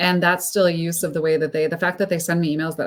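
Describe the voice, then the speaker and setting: A woman speaks at a very fast pace with an American accent. Her pitch is fairly low. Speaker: speaker coach and consultant. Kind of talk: panel discussion.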